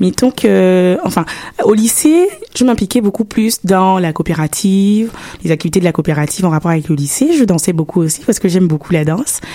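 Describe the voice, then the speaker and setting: Over noticeable background noise, a woman talks at a fairly quick pace with lively intonation and very even loudness. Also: medium pitch for a woman. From Gabon. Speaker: university student. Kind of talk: radio interview. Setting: radio studio.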